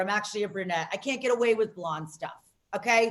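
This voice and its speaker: A woman talks loudly and with an animated tone in an American accent. Her pace is fairly quick. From Las Vegas, US. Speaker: comedian. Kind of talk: stand-up.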